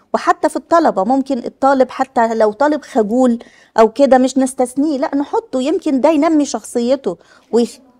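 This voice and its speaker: Egyptian-accented woman with a high voice, a moderate pace and a quiet background. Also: ordinary pitch variation. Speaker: health official. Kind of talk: workshop presentation. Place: hall. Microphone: speaking without a microphone at times.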